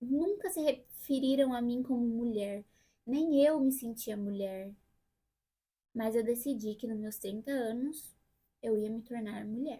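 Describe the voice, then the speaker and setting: Taking long, frequent pauses, a woman speaks at a fairly slow pace and a high pitch in a dark, mellow tone, with ordinary pitch variation. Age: 30s. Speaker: vlogger. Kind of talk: personal vlog monologue. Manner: casual.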